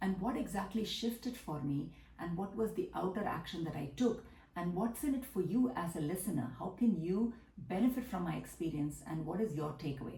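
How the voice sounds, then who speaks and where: Audible room echo surrounds a woman with a Tamil accent who speaks at a medium pitch and a fairly quick pace with lively intonation. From South India, Tamil Nadu. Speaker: business coach. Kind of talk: monologue vlog.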